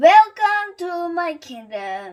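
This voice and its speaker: A woman does a put-on character voice at an extremely high pitch. Her pitch swings very widely. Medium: read story. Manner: bossy, domineering.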